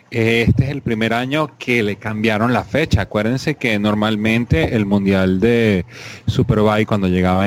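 A man talks in a fairly low pitch. Noticeable background noise runs underneath. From Venezuela. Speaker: motorsport podcast co-host. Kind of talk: casual chat.

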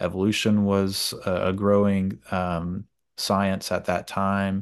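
A man with an American accent speaks at a fairly slow pace in a very deep, low voice, his intonation fairly even against a quiet background. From US South, Georgia. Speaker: film podcast host. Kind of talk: casual chat. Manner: halting, many fillers.

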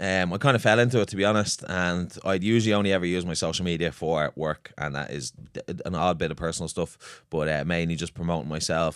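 A man with a Dublin accent talks at a very fast pace, with hardly any pauses and a very deep, low pitch. His pitch variation is ordinary, and the recording is very clean with a silent background. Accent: Dublin Irish. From Ireland, Swords, north County Dublin. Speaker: personal trainer and gym owner. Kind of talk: casual chat.

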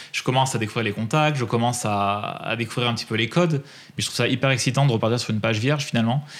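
Fairly even intonation marks this man's medium-pitched voice. He moves at a very fast pace. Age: 30s. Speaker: freelance music press agent and traveller. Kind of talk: casual interview.

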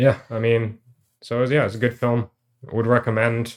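A man talks in a medium pitch. His intonation is monotone and flat. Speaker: podcast co-host. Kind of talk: casual chat.

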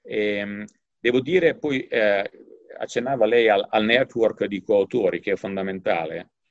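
A man with a medium pitch talks fairly slowly, showing ordinary pitch variation. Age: 50s. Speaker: economics professor. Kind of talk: interview. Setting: office. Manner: halting.

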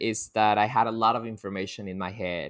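A man speaks at a fairly low pitch with a Colombian accent. The recording is very clean, with a silent background. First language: Spanish. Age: 20s. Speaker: coffee quality control worker. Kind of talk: casual interview chat.

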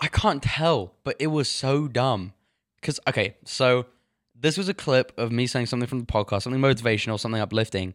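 A man's medium-pitched voice with an English accent, a fairly quick pace, ordinary pitch variation, and a very clean recording over a silent background. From England. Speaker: podcast co-host. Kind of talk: casual chat.

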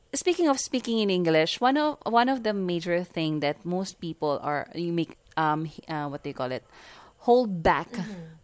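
Her pitch fairly low, a woman talks at a moderate pace with very wide pitch swings. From Philippines. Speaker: podcast host, virtual assistant. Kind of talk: casual interview.

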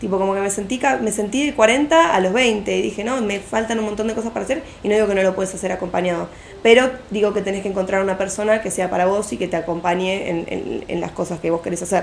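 Over noticeable background noise, a woman speaks at a fairly quick pace in a medium pitch. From Argentina, Buenos Aires southern suburbs. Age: 20s. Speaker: architecture student. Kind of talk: casual chat.

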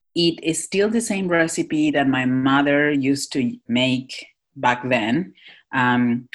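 A woman speaks in a Spanish accent. Her intonation is lively. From Northwest Argentina. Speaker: chef and cafe owner. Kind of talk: interview.

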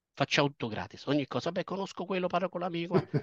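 A man's fairly high voice at a very fast pace, dry and close with no echo, over a quiet background. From southern Italy, Basilicata (Potenza). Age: 50s. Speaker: banker and career professional. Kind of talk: interview. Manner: halting, frequent repetitions.

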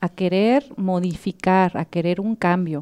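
On a very clean recording with a silent background, a woman speaks in a dark, mellow tone, the sound dry and close with no echo. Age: 30s. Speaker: psychotherapist. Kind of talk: interview on psychology.

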